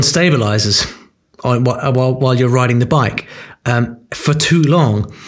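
The speaker has a British accent and a moderate pace. Pitch variation is ordinary. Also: man. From UK. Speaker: language learning author and course creator. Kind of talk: interview.

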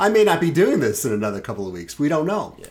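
A man with a New York accent. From Brooklyn, New York City. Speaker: podcast co-host. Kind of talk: casual chat.

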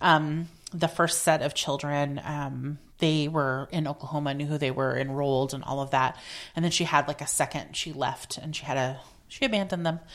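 At a moderate pace, a woman with a very deep, low pitch speaks with fairly even intonation. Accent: American. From Oregon, Portland area. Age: 40s. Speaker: activist and consultant. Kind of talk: interview conversation. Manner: halting, with fillers.

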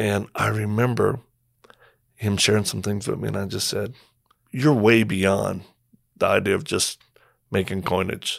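Fairly low-pitched male voice with vocal fry, fairly even intonation and long, frequent pauses, on a very clean recording with a silent background. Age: 50s. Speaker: missionary and former Marine. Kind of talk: interview. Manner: halting.

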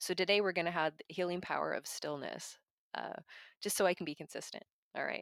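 A woman with vocal fry and ordinary pitch variation talks at a fairly quick pace, and the recording is very clean with a silent background and a dry, close sound with no echo. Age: 40s. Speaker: podcast host on mental health. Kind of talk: solo monologue podcast.

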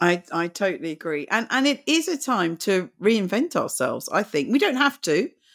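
A woman with a British accent, fairly high in pitch with very wide pitch swings, at a moderate pace with hardly any pauses, on a very clean recording over a silent background. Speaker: podcast host. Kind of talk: interview. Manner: halting.

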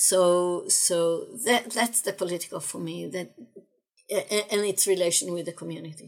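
At a moderate pace, a woman with an Israeli accent speaks at a medium pitch with ordinary pitch variation. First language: Hebrew. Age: 60s. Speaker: philosophy lecturer. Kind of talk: interview. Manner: halting, frequent repetitions.

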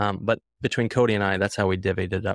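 A man with an unremarkable speaking voice talks fairly quickly at a fairly low pitch with fairly even intonation, in a dry, close, echo-free recording that is very clean with a silent background. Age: 20s. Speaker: agency co-CEO. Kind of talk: casual interview.

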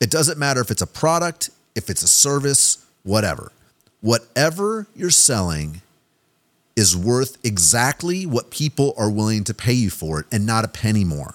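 Speaking at a moderate pace with an American accent, a man with a medium pitch swings very widely in pitch, in a dry, close sound with no echo. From US Midwest, Kansas City. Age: 40s. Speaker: podcast host, marketing consultant. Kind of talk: solo podcast monologue. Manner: casual, conversational with frequent fillers.

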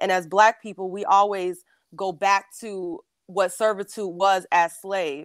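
A normal speaking voice from a woman, medium-pitched and fairly even in intonation, at a fairly slow pace, dry and close with no echo. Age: 20s. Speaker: caller. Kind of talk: call-in discussion. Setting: video call.

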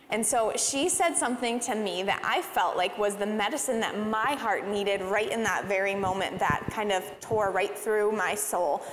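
Over noticeable background noise, a woman speaks with hardly any pauses, very even loudness, and ordinary pitch variation. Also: medium pitch for a woman, moderate pace. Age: 30s. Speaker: church leader. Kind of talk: church service talk. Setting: church stage.

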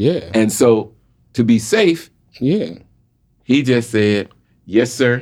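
Speaking with a Southern US accent at a medium pitch, a man goes at a very slow pace with long, frequent pauses and very even loudness. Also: lively intonation. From Jacksonville, Florida, US South. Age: 60s. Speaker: podcast guest. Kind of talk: casual chat.

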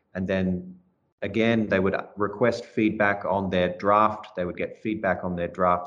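An Australian accent from a man at a fairly low pitch, monotone and flat in intonation, at a moderate pace against a quiet background. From Melbourne, Australia. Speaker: language and literature teacher. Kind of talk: interview.

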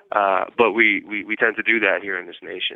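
Pitched fairly low, a man speaks at a moderate pace. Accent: New York. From New York City, Manhattan. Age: 40s. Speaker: incarcerated journalist. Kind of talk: interview. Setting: phone call from prison yard. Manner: halting, many repeated words.

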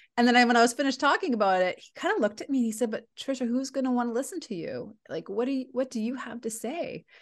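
Against a quiet background, a woman with a Canadian accent races along at a very fast pace in a high, animated voice with big swings in loudness and hardly any pauses. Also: lively intonation. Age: 40s. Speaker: leadership coach and speaker. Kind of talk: interview.

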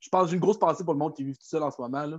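A man's ordinary speaking voice, fairly high in pitch, with ordinary pitch variation. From Quebec City region. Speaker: medical supply employee. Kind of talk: casual chat. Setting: video call.

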